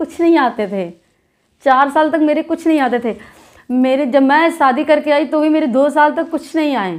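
A woman talks at a high pitch with ordinary pitch variation. The background is quiet. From Basti, eastern Uttar Pradesh, India; Uttar Pradesh. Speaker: YouTuber, dholak folk singer; YouTuber. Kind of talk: casual vlog talk to viewers. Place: home room. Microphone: phone near.

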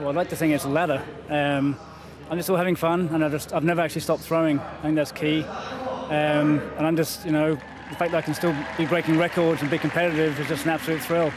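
Speaking at a very fast pace with fairly even intonation, a man sounds dry with no echo, while noticeable background noise runs behind him. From England. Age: 50s. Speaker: javelin thrower and artist. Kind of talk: interview answer. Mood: upbeat, enthusiastic. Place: stadium. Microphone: handheld.

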